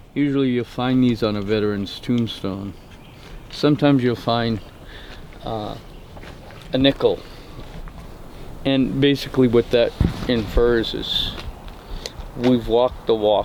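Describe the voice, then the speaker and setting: Against noticeable background noise, a man speaks with fairly even intonation and long, frequent pauses. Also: medium pitch for a man. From New Brunswick, Canada. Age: 50s. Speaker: campus safety officer and veteran. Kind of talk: documentary interview. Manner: halting.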